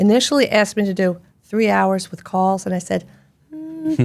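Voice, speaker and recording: A woman with a Philadelphia accent, medium pitch and a fairly quick pace. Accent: Philadelphia American English. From US Northeast, Philadelphia. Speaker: gastroenterologist. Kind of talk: interview conversation. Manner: animated.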